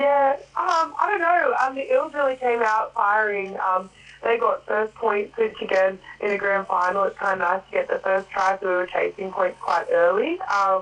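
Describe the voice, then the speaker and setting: Noticeable background noise sits behind a woman with an Australian accent. She speaks at a moderate pace with lively intonation. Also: fairly high pitch for a woman. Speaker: rugby league player. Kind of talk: radio interview.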